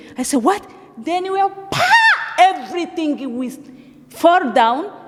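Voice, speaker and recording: Her extremely high-pitched woman's voice moves with lively intonation at a fairly slow pace, with audible room echo and noticeable background noise. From Africa. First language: not English. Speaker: refugee giving church testimony. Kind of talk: testimony. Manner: halting.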